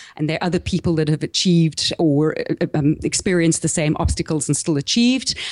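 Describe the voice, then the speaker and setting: With a South African accent, a woman speaks at a very deep, low pitch with ordinary pitch variation, very even loudness and hardly any pauses. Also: dry, close sound with no echo. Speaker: small business podcaster and marketing coach. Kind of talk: interview.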